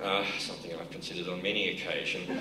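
A man is speaking with noticeable background noise in the recording. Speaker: keynote speaker. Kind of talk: keynote address to a conference audience. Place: stage. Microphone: podium.

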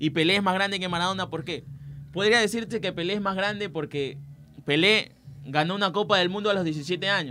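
A man with a high pitch speaks in a raised, projected voice at a fairly quick pace. His pitch variation is ordinary, and there is light background noise. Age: 20s. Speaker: student sports radio presenter; radio presenter. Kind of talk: sports talk radio chat. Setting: radio studio. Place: studio. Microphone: studio mic.

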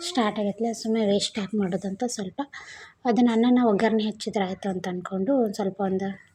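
With fairly even intonation, a woman speaks in a somewhat breathy, dark, mellow voice at medium pitch. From Bijapur area, north Karnataka. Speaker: vlogger. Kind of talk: casual vlog narration. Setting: home kitchen, handheld camera.

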